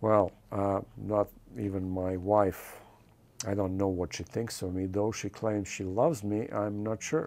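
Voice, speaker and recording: A man with a non-native accent speaks at a fairly slow pace with fairly even intonation. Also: fairly low pitch for a man. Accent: foreign. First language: not English. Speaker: film director. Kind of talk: interview. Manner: hesitant, frequent uh fillers.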